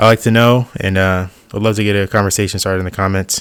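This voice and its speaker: A man with a fairly low pitch talks at a fairly quick pace. His intonation is fairly even, and the recording is very clean with a silent background. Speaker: YouTuber, sim racing hobbyist. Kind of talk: voiceover tutorial. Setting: voiceover over B-roll. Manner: soft-spoken; casual, hesitant with fillers.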